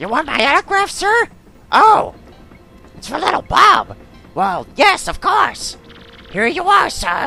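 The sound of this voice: This put-on character voice sits at an extremely high pitch. It moves at a fairly slow pace with long, frequent pauses.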